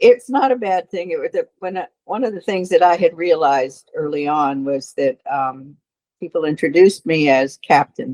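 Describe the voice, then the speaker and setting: A woman at a moderate pace in a dry, close sound with no echo. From Key West, Florida. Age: 70s. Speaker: retired boat captain and marine science expert. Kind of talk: interview storytelling.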